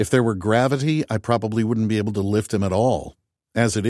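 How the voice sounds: In a natural reading voice, the speaker reads against a quiet background.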